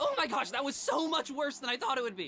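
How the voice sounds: A man puts on a cartoonish character voice at an extremely high pitch and a very fast pace. Clear background noise can be heard.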